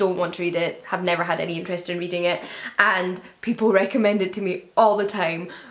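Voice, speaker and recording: In a Scottish accent, a woman speaks at a moderate pace, with noticeable background noise and audible room echo around her. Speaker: book youtuber. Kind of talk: casual chat. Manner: conversational.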